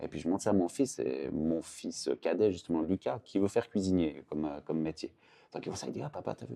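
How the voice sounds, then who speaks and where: Very fast male speech, very deep and low in pitch, in a dark, mellow tone. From Switzerland, canton of Vaud. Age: 40s. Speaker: artist. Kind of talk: casual chat. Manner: hesitant, many fillers.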